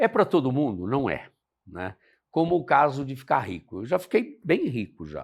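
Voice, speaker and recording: A man's medium-pitched voice carries vocal fry. The recording is very clean, with a silent background. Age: 70s. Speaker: pilot and motivational speaker. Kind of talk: casual interview chat.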